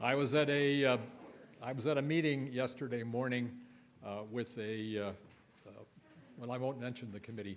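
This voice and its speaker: Audible room echo follows a man who speaks with long, frequent pauses. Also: medium pitch for a man, fairly even intonation, moderate pace. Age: 80s+. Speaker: lay worship leader. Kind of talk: worship service talk. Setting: church. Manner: halting.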